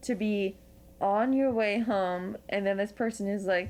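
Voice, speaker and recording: A woman with an American accent has a plain, everyday voice at a medium pitch. She talks fairly slowly with fairly even intonation. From Pennsylvania. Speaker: podcast host. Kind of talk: casual chat.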